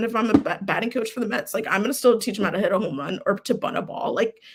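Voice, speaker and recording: A woman with an American accent talks at a very fast pace, her pitch fairly high. Noticeable noise sits in the background. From Florida. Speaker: equity and belonging program manager. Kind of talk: casual chat.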